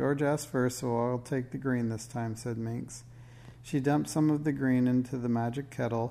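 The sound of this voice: A reading voice, unforced.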